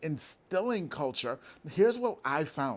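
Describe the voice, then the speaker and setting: On a very clean recording with a silent background, a man speaks loudly and animatedly at a fairly slow pace, his pitch swinging very widely. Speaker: business owner. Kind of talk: motivational talk.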